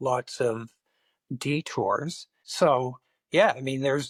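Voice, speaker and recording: The speaker talks at a very slow pace with a Canadian accent and fairly even intonation. The recording is very clean with a silent background and a dry, close sound with no echo. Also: man. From Montreal, Quebec. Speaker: documentary filmmaker and photographer. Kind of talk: interview.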